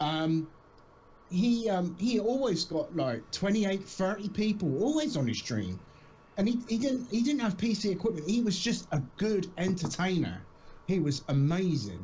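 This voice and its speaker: A man's high, dark, mellow voice in a British accent, with lively intonation, very even loudness and a moderate pace. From southern England, Southampton. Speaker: streamer. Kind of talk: casual chat. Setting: live stream.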